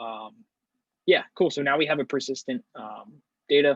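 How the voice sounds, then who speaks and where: Heard in a dry, close sound with no echo, a man talks at a fairly quick pace in a fairly high pitch. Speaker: workshop instructor. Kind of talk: tutorial. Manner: fast; halting, many fillers.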